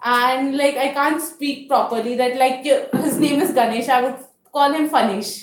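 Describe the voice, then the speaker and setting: Audible room echo surrounds a woman speaking. Her pitch is high and her intonation fairly even. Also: moderate pace. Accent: Indian. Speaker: toastmasters meeting host. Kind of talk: public speaking at club meeting. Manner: halting.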